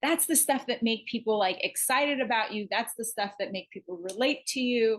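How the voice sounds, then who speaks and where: A woman speaks at a fairly quick pace. Her fairly high voice shows ordinary pitch variation. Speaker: music show co-host. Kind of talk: casual chat. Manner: fast.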